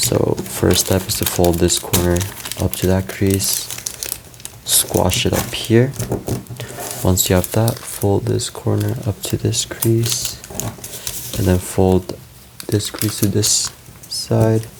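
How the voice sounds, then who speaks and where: The speech moves at a very slow pace with long, frequent pauses. Noticeable background noise is present. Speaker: origami tutorial creator. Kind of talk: tutorial. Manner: casual, self-correcting.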